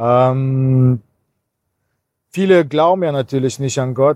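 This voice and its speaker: A man speaks with a Cologne accent at medium pitch. The sound is dry and close, with no echo. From Kazakhstan, then Cologne region. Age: 40s. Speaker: pastor. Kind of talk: interview.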